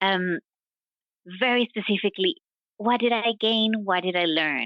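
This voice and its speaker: A woman speaks at medium pitch and a moderate pace, with lively intonation. Her loudness stays very even. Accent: non-native. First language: not English, English is third or later. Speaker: science diplomacy professional. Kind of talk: interview. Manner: halting, with fillers and repetitions.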